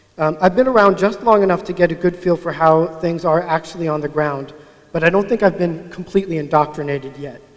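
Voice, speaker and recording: A man with a high-pitched voice at a very fast pace, against noticeable background noise. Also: ordinary pitch variation. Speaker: agile coach. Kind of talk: conference talk. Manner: mumbling.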